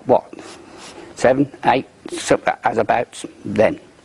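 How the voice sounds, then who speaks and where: A man's voice, dry and close with no echo, against noticeable background noise. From English Midlands, Banbury. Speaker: war survivor. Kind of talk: testimony.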